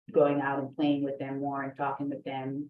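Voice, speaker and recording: This woman has a very deep, low pitch and talks at a moderate pace. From Jamaica, moved to Miami at seven. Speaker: attorney. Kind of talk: oral history interview. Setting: video call.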